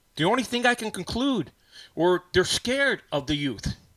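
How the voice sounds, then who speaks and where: On a very clean, dry, close recording with a silent background and no echo, a man speaks in an animated tone. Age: 50s. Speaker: ham radio livestream host. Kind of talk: casual livestream monologue. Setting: studio.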